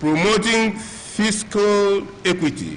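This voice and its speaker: A man with a high pitch uses a raised, projected voice at a very slow pace, with ordinary pitch variation. Audible room echo and noticeable background noise are present. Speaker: professional body representative. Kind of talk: reading aloud.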